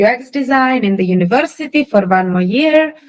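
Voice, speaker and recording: A woman's medium-pitched voice comes with music playing behind it. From Ukraine. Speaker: design and consulting leader. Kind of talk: podcast interview. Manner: hesitant, many fillers.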